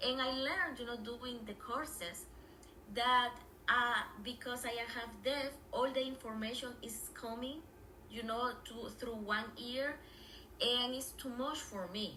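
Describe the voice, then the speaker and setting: With a Spanish accent, a woman talks at a fairly slow pace in a high pitch with fairly even intonation, over noticeable background noise and audible room echo. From Honduras. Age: 50s. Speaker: language teacher. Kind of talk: interview. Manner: halting, many fillers.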